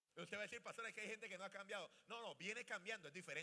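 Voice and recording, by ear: Speaking fast, a man with a high voice and a bright, sharp tone uses ordinary pitch variation.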